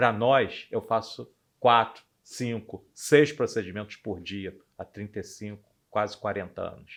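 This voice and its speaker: At a fairly slow pace, a man with an unremarkable speaking voice talks at medium pitch with fairly even intonation and big swings in loudness. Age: 60s. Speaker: anesthesiologist. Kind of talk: podcast interview.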